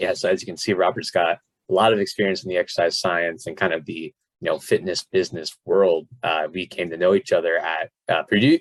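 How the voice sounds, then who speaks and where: Recorded with a dry, close sound and no echo, a man with an American accent talks at a very fast pace. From South Florida. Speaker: podcast host and fitness coach. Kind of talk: casual podcast interview. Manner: animated.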